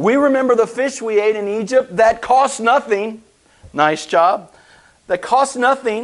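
Doing a put-on character voice, a man whines at a fairly slow pace in an extremely high pitch. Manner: whiny.

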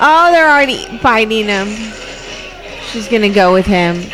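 A woman with lively intonation keeps a moderate pace while noticeable background noise runs beneath her. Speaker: podcast host. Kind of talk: casual chat. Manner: animated, laughs often.

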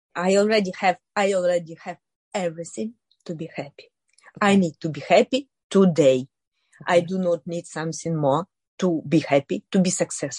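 Speaking at a fairly quick pace, a woman uses a fairly low, somewhat breathy voice with ordinary pitch variation. Her loudness swings a lot, and the sound is dry and close with no echo. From Ukraine, Kherson. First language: Ukrainian or Russian. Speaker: businesswoman. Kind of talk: interview. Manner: halting.

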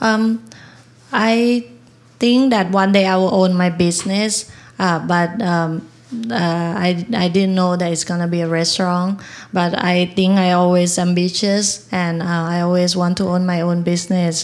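A woman with a Thai accent and fairly even intonation. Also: medium pitch for a woman, fairly slow pace. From Thailand. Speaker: restaurant owner. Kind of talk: onstage interview. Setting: stage with live audience. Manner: halting.

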